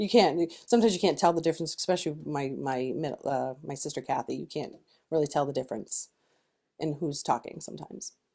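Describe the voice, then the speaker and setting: A woman with an American accent talks very fast in a very deep, low voice with a dark, mellow tone and vocal fry. Her pitch varies in an ordinary way, while her loudness swings a lot. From Massachusetts, Lawrence (Boston area). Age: 50s. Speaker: HR manager. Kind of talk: interview; reading aloud.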